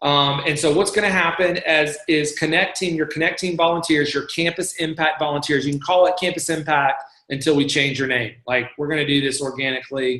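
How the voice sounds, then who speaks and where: A man's unremarkable speaking voice, fairly high in pitch, with ordinary pitch variation. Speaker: church staff member leading volunteer training. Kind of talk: online training presentation. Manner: casual with many fillers.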